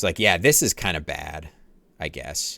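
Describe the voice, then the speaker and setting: A man talks with a bright, sharp tone and vocal fry. The recording is very clean, with a silent background. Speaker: game developer streamer. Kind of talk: live coding stream. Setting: live stream. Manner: casual, filler-heavy.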